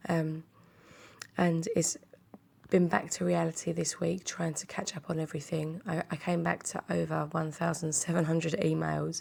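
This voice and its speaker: A woman at a moderate pace with a British accent. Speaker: craft kit seller and vlogger. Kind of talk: product unboxing video. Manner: hesitant, many fillers.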